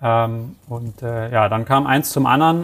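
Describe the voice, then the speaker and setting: This man talks at a fairly slow pace with fairly even intonation and a medium pitch. He has an unremarkable speaking voice. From Hamburg, northern Germany. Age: 30s. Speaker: e-commerce product manager. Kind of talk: interview.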